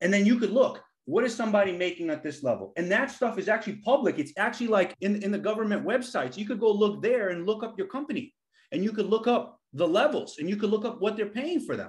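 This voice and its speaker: A high-pitched man with an American accent at a very fast pace, ordinary pitch variation, quiet background. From US Northeast, the Bronx, New York City. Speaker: engineer, former big tech engineering leader; podcast host. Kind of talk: casual chat. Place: home room. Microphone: webcam.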